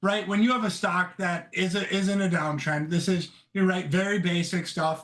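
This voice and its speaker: A loud man's voice. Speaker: stock trader. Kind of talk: casual chat. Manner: halting.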